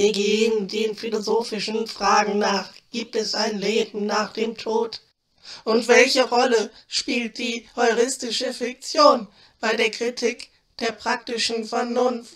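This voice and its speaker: Using a put-on character voice, a female-sounding voice speaks at a fairly slow pace with a fairly high pitch. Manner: pompous, lofty, lazy.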